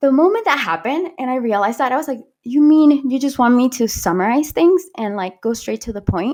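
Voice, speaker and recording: With a Spanish accent and a high pitch, a woman talks at a fairly quick pace with lively intonation and hardly any pauses. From Panama. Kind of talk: interview storytelling. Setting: podcast.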